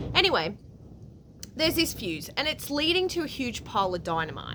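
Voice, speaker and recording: A woman talks fairly quickly while noticeable background noise runs underneath. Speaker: spiritual vlogger. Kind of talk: casual monologue. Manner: animated.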